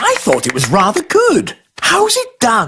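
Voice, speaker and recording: At a fairly slow pace, the speaker performs a cartoonish character voice. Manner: proper, slightly pompous.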